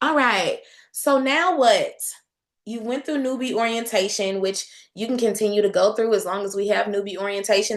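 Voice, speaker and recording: At a moderate pace, a woman with a medium pitch and ordinary pitch variation speaks in an animated tone. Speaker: direct sales team leader. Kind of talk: online training session. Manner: loud.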